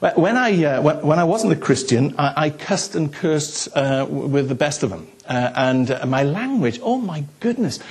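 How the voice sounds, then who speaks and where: With a South Wales Valleys accent, a man talks at a fairly slow pace with hardly any pauses and lively intonation over noticeable background noise. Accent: South Wales Valleys Welsh English. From Wales, South Wales Valleys. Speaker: pastor. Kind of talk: sermon. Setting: church. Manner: halting.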